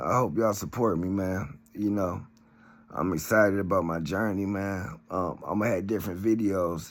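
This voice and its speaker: A man's fairly low voice comes with audible room echo. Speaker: YouTuber reading a book. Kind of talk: casual vlog talk.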